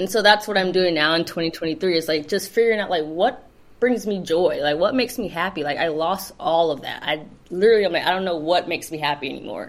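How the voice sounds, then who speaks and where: A woman talks very fast with a Californian accent. Her voice sits fairly low, with ordinary pitch variation. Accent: Californian American English. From Los Angeles, South Bay. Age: 30s. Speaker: community founder. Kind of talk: casual interview chat.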